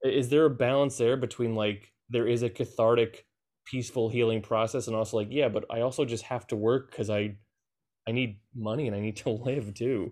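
A man's unremarkable speaking voice at a medium pitch, fairly quick, with fairly even intonation over a quiet background. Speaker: podcast host. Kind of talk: casual interview conversation. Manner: rambling, filler-heavy.

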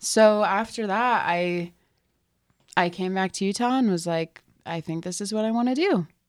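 On a very clean recording with a silent background, a woman speaks at a moderate pace in a medium pitch with ordinary pitch variation, in a plain, everyday voice. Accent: American. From California. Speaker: mortuary worker. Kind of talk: casual chat. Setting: studio.

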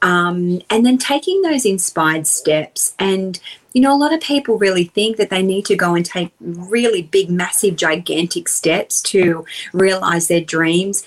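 With an Australian accent, a woman speaks fairly slowly at a medium pitch, using lively intonation and very even loudness. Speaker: personal development coach. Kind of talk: interview.

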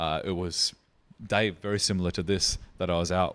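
In a very clean recording with a silent background, a man with an Australian accent speaks at a moderate pace and a fairly low pitch. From Australia, Riverland (South Australia). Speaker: brewery founder. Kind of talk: casual interview.

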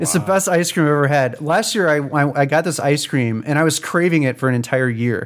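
A man's plain, everyday voice, fairly high in pitch with ordinary variation, fairly quick with hardly any pauses and very even loudness. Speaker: board game podcast host. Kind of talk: casual chat.

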